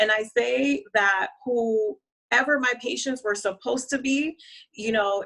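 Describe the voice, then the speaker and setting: This woman's voice has a bright, sharp tone and a fairly high pitch. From Honduras, raised in the US. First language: Spanish. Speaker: marketing and branding strategist. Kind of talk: interview.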